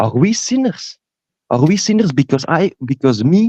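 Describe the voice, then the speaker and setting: In a Dutch accent, the voice has a dark, mellow tone and very wide pitch swings, with a dry, close sound and no echo. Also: man. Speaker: caller. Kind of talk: casual chat. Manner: halting.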